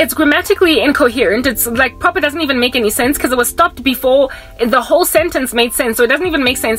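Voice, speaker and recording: A woman's voice over faint background music. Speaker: vlogger. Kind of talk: casual vlog chat. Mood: animated, exasperated storytelling. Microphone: phone near.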